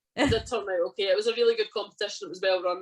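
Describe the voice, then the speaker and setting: At a very fast pace, a woman with a Scottish accent speaks at medium pitch with ordinary pitch variation. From central Scotland. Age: 30s. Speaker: strongwoman athlete. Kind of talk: casual chat. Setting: podcast interview.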